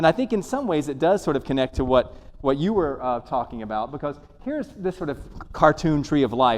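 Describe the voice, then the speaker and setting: The talking goes at a moderate pace, in an American accent. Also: man. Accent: Southern US, comes out when nervous. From Alabama, US South. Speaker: professor. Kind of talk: lecture. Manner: casual, hesitant with fillers.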